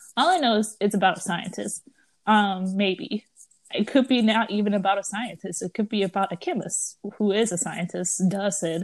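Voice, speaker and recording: The voice is somewhat breathy, with ordinary pitch variation. It moves at a moderate pace against a quiet background. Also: woman, medium pitch for a woman. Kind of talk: casual chat.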